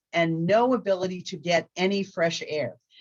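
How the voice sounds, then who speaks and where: At a fairly slow pace, a woman with a plain, everyday voice speaks at medium pitch. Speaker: law school dean. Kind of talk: presentation to bar members.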